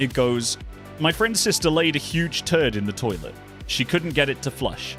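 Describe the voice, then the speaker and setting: A man with fairly high pitch and lively intonation at a moderate pace, music in the background. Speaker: voice actor. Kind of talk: dramatic reading of a funny internet story.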